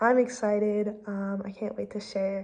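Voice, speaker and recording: A woman speaks at a medium pitch while noticeable background noise runs beneath her voice. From France and US, grew up more French. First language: French. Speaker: student vlogger. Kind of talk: casual vlog monologue. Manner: frequent filler ums.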